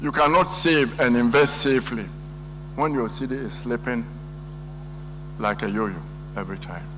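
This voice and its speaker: A man speaks at a moderate pace with long, frequent pauses, with audible room echo and noticeable background noise. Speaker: economist. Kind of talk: lecture.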